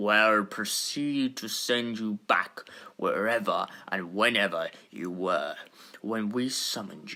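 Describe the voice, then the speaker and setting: In a put-on character voice, a man speaks at a fairly slow pace and medium pitch, with big swings in loudness. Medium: audio drama. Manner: formal, authoritative.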